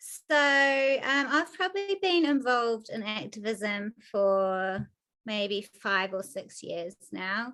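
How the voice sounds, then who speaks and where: With a New Zealand accent, a woman speaks at a very slow pace. Her voice is fairly high in pitch, with a bright, sharp tone. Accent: Kiwi. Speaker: animal rights activist. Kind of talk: podcast interview. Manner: many filler ums.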